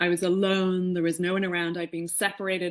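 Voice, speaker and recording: A woman talks fairly quickly with an Irish accent in a fairly low voice. The background is quiet. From Ireland, Dublin. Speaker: spiritual teacher. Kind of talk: podcast interview. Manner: animated.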